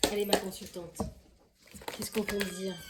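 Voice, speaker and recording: A woman's medium-pitched voice amid noticeable background noise. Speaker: tarot card reader. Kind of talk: tarot reading. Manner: fast; halting.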